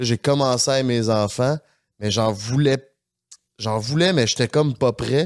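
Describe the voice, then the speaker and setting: On a very clean recording with a silent background and a dry, close sound with no echo, a man with a Quebec accent talks at a medium pitch and fairly slow pace, using ordinary pitch variation and long, frequent pauses. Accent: Québécois French. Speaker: podcast co-host. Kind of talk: casual chat. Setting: studio.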